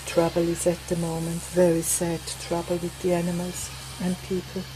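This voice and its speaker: The speaker has a Swiss accent and a moderate pace. Noticeable background noise runs underneath. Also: woman. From Switzerland. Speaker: craft vlogger. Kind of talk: tutorial; casual chat. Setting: outdoors on a veranda.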